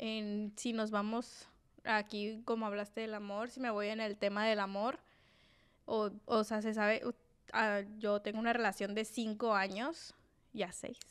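A woman speaks in a Sinaloan accent at a fairly high pitch. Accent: Sinaloan Mexican Spanish. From Mexico, Sinaloa (Mazatlán). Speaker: podcast co-host. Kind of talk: casual chat. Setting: studio.

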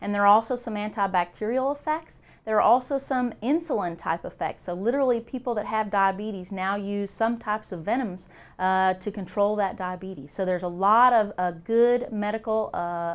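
The pace is moderate. A woman talks with ordinary pitch variation. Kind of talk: interview answer. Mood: calm, friendly explanation. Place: office. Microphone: lapel.

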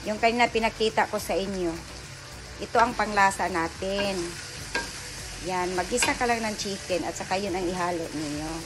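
At a moderate pace, the speaker leaves long, frequent pauses while noticeable background noise runs underneath. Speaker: home cook vlogger. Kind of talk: casual cooking tutorial chat. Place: kitchen. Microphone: phone near.

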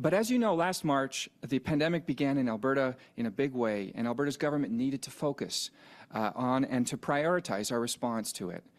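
Speaking at a fairly quick pace, a man with a normal speaking voice uses lively intonation at a fairly high pitch. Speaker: provincial minister. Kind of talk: press conference. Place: hall. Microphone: podium.

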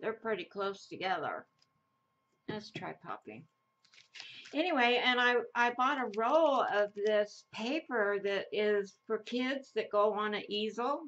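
A woman with an American accent speaks at a fairly high pitch and a fairly slow pace. Her intonation is lively. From Idaho, US. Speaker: craft YouTuber. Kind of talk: casual crafting tutorial chat. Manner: rambling, hesitant with many fillers. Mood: relaxed, chatty. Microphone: camera far.

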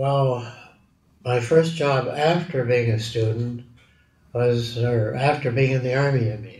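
Somewhat breathy speech in a Canadian accent, fairly even in intonation and fairly slow in pace, with audible room echo and a quiet background. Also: man. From Edmonton, Alberta, Canada. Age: 80s+. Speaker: metallurgist and steel industry pioneer. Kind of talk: oral history interview answer. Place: office.

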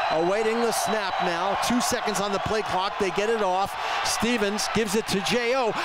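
Against noticeable background noise, a man with a high pitch speaks in an animated, energetic tone at very even loudness. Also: moderate pace. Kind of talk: live sports play-by-play commentary. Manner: animated, breathless, energetic.

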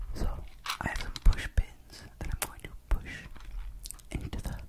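Whispering, a man speaks at a very slow pace. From Hawaii. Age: 20s. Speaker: ASMR content creator. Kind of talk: ASMR video intro. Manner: soft, calm. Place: home room. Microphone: studio mic.

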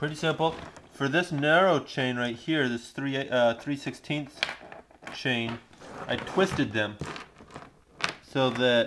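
A man talks at a fairly slow pace while noticeable background noise carries on. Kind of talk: tutorial. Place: garage. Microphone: phone near.

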